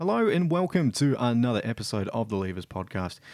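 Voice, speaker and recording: A man with an Australian accent, fairly quick pace and very wide pitch swings, on a very clean recording over a silent background. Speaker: podcast host. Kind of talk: casual interview; scripted intro narration.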